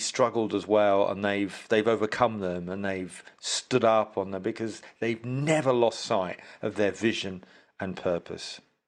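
A man's plain, everyday voice at a moderate pace, with ordinary pitch variation. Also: quiet background. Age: 50s. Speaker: influencer marketing specialist. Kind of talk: casual interview.

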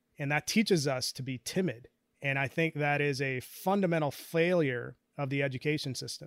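With an American accent and a fairly high pitch, a man talks at a fairly quick pace in a plain, everyday voice with ordinary pitch variation. The recording is very clean and silent in the background, with a dry, close sound and no echo. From India, moved to US as a child. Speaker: talent strategist and researcher. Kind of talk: interview.

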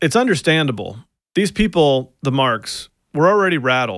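At a fairly quick pace, a man talks with lively intonation in an ordinary speaking voice, captured in a very clean recording with a silent background. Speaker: podcast host narrator. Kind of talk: scripted narration with interviews.

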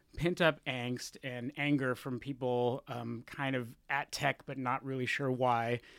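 This man has an ordinary speaking voice with a fairly high pitch. The recording is very clean, with a silent background. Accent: American. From Texas. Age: 30s. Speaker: journalist. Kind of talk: interview.

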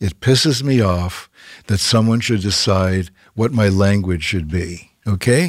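This man has an unremarkable speaking voice with a Canadian accent, a fairly low pitch, ordinary pitch variation and a moderate pace. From Canada. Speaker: TV host and producer. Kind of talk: interview. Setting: studio.

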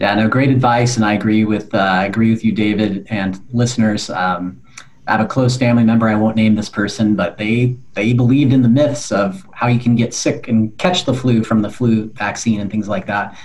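With an American accent and an ordinary speaking voice, a man talks at a fairly quick pace and medium pitch, with fairly even intonation and hardly any pauses. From California. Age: 40s. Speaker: podcast host. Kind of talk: interview.

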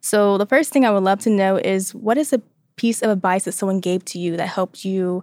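A woman talks at a fairly quick pace with a medium pitch. The recording is very clean, with a silent background and a dry, close sound with no echo. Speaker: marketing intern, guest co-host. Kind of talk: interview questions. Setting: studio. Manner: calm.

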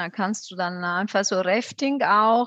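A woman talks very slowly, and the background is quiet. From southern Italy, Campania (Benevento). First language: Italian (speaking German). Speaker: tourism board representative. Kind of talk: casual interview.

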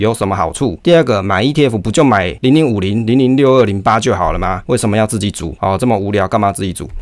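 A man talks at a very fast pace with hardly any pauses, his fairly low voice carrying lively intonation. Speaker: finance podcast host. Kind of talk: book review monologue.

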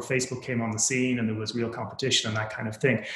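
A man speaks with an Irish accent. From Ireland. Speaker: venture capital investor. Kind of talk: interview. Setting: remote call.

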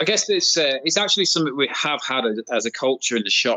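A man in a British accent, medium pitch, fairly quick pace. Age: 40s. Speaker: repair shop owner. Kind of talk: casual interview chat.

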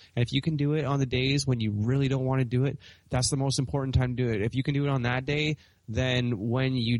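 Speaking at a fairly quick pace, the man keeps a medium pitch and fairly even intonation. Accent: Western Canadian. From Canada, British Columbia. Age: 20s. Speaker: urban farmer. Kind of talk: interview conversation.

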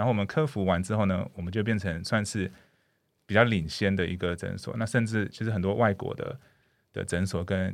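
In a very clean recording with a silent background, a man speaks at a fairly quick pace and a fairly low pitch. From Canada. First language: English (speaking Chinese). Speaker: dentist. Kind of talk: interview. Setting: studio. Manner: hesitant with frequent fillers.

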